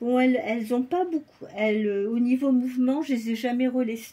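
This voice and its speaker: Somewhat breathy and dark, mellow in tone, a woman speaks with ordinary pitch variation. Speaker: doll collector vlogger. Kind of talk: casual show-and-tell vlog. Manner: quieter than usual; alternates French and English.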